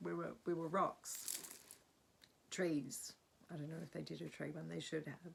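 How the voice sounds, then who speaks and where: A woman at a fairly slow pace, with long, frequent pauses. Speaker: spiritual healer vlogger. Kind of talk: casual spiritual vlog monologue.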